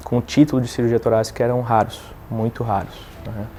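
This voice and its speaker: A man talks with a southern Brazilian accent and fairly even intonation. Noticeable background noise sits behind him. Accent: gaúcho accent, noticeable. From southern Brazil, Rio Grande do Sul. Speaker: thoracic surgeon. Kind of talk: testimony. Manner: halting, with fillers and repetitions.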